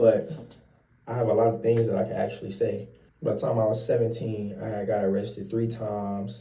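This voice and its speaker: With an American accent, a man of medium pitch talks at a fairly quick pace in a dark, mellow, somewhat breathy tone, his intonation fairly even and the room echo audible. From Cleveland, Ohio, US Midwest. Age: 20s. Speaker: vlogger giving credit and life advice. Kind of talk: casual vlog monologue. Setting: getting ready for work early morning. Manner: casual, conversational.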